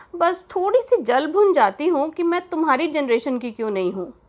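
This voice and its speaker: A woman is talking. Her voice moves through very wide pitch swings. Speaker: podcast host, storyteller. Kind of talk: scripted narration, letter read aloud. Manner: animated.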